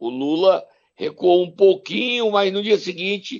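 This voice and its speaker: A man's voice sits high in pitch, and he talks at a fairly slow pace. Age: 60s. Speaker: political commentator. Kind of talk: casual chat. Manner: animated.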